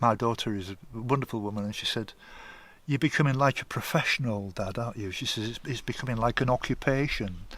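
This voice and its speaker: A man speaks with an East Yorkshire accent. The recording is very clean, with a silent background. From northern England, Hull. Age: 70s. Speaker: long-distance walker. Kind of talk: interview.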